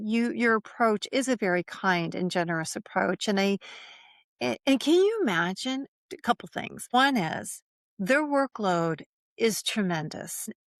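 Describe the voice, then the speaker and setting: At a fairly slow pace, a woman with an unremarkable speaking voice talks at a fairly high pitch with lively intonation, the sound dry and close with no echo. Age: 60s. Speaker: functional medicine practitioner and menopause educator. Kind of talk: casual interview conversation.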